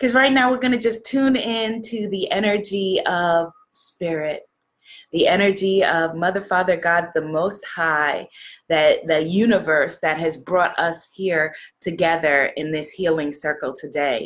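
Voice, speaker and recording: A woman's fairly slow speech in a New York accent, with lively intonation. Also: medium pitch for a woman. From New York City. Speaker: spiritual love coach and livestream host. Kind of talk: inspirational livestream talk. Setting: live video stream. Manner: loud; animated.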